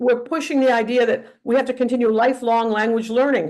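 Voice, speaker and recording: A woman with a Northeast US accent speaks in a high voice with ordinary pitch variation. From northeastern US. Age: 80s+. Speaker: teacher trainer. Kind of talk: lecture. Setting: webinar. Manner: halting.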